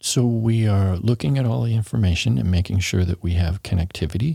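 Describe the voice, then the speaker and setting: A man's dark, mellow, somewhat breathy voice, dry and close with no echo, on a very clean recording over a silent background. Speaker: city transportation planning official. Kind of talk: casual interview.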